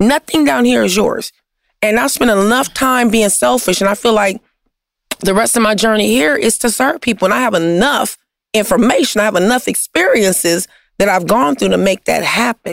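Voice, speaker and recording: A fairly high-pitched woman's voice with vocal fry, lively intonation and very even loudness. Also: moderate pace. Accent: American. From Compton, Los Angeles. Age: 50s. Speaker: nonprofit founder serving the homeless. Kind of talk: interview conversation.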